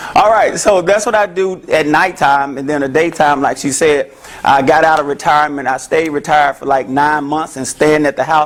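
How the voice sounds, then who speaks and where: A man speaks with a Memphis accent at a fairly quick pace. His tone is animated, and noticeable background noise comes through. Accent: Southern US (Memphis). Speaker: therapist. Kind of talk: talk to an audience. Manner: loud.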